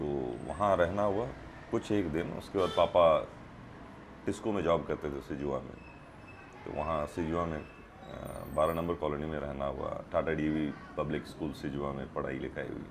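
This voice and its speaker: Pausing long and often, a man with a very deep, low pitch speaks with ordinary pitch variation. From India, Jharkhand (Dhanbad). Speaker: film actor. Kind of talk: interview.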